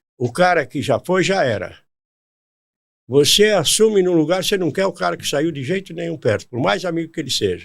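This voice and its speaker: The recording is very clean, with a silent background. The intonation is lively. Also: man, high pitch for a man, fairly quick pace. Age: 80s+. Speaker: former football club director. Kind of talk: casual chat.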